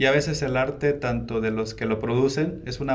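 At a fairly quick pace, a man with a medium pitch and fairly even intonation is heard with audible room echo and noticeable background noise. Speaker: painter. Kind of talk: casual interview. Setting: museum, in person.

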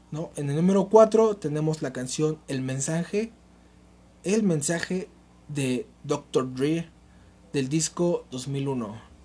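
Leaving long, frequent pauses, a man speaks very slowly at a fairly high pitch with ordinary pitch variation. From Mexico, Nezahualcóyotl (State of Mexico). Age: 20s. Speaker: podcast host. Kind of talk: casual monologue. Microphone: cheap makeshift mic, pen and notebook noises.

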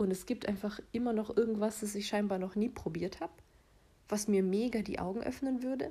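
Her voice dark and mellow, a woman speaks at medium pitch, somewhat breathy, with fairly even intonation. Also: fairly quick pace. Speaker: solo podcaster. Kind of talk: casual monologue.

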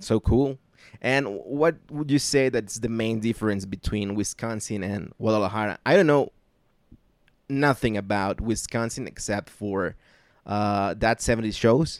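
In a very clean recording with a silent background, the speaker uses a Mexican accent at a fairly slow pace with ordinary pitch variation. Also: man, medium pitch for a man. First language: Spanish. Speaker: podcast host. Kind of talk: casual chat. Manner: halting.

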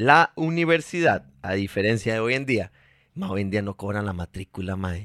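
A man's normal speaking voice, fairly low in pitch, with lively intonation at a moderate pace, in a dry, close sound with no echo and a very clean recording with a silent background. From Costa Rica, Heredia. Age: 30s. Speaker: actor and TV presenter. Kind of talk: interview.

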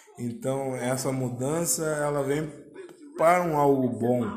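Over noticeable background noise and audible room echo, a man talks at a very slow pace. His pitch is medium with ordinary variation. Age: 20s. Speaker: podcast host. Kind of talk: casual solo monologue. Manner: hesitant with frequent fillers.

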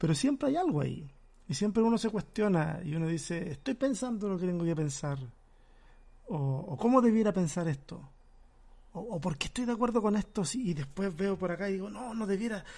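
High-pitched yet dark and mellow in tone, a man speaks at a fairly quick pace with lively intonation. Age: 40s. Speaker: pastor and podcast host. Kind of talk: casual chat.

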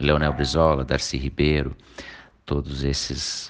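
Over noticeable background noise, a man with a very deep, low pitch speaks fairly slowly in a monotone, flat way. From southern Brazil, Canoas (Rio Grande do Sul). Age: 40s. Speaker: lawyer and vice-mayor candidate. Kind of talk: interview.

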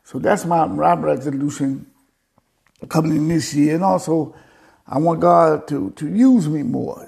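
Lively intonation marks an unremarkable speaking voice that proceeds at a fairly slow pace. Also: man, fairly high pitch for a man. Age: 50s. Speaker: preacher. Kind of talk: sermon.

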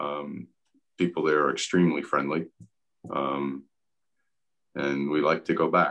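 Vocal fry runs through this man's very deep, low voice as he talks at a moderate pace. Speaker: retired chemical engineer. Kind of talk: casual chat.

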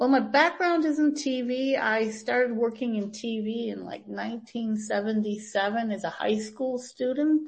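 A woman with an American accent and fairly high pitch, at a very slow pace with hardly any pauses and ordinary pitch variation. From US Midwest, Green Bay, Wisconsin. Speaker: TV producer. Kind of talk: interview.

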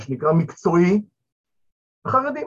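The man's voice sits at a high pitch. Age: 50s. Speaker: returnee to religion, father of eight. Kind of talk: panel discussion. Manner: halting, with fillers.

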